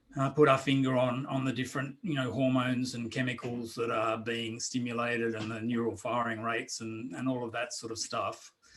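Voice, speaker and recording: Speaking at a fairly quick pace with hardly any pauses, a man holds a medium pitch and monotone, flat intonation. Noticeable background noise is present. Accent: Australian. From Australia. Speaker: drum circle facilitator and author. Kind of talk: interview. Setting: video call. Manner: halting, many fillers. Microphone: too quiet.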